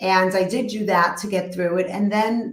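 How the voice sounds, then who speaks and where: At a moderate pace, a woman with a medium-pitched voice speaks in a Brooklyn accent. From New York, Brooklyn. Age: 50s. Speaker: therapist. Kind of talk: interview.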